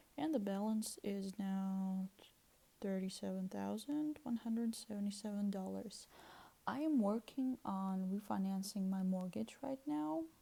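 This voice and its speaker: Speaking with a Russian accent, a woman has a medium pitch and a dark, mellow, somewhat breathy tone. She talks at a fairly slow pace with ordinary pitch variation. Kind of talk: casual talk to camera. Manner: hesitant, with fillers.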